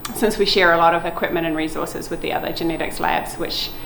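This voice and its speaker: With a New Zealand accent, a woman talks with ordinary pitch variation amid noticeable background noise and audible room echo. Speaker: lab manager, marine genetics researcher. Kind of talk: guided lab tour. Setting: indoors, research lab. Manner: casual, with fillers.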